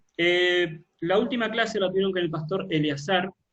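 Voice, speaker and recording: The voice carries ordinary pitch variation, with audible room echo around it. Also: man. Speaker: pastor. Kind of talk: online Bible class.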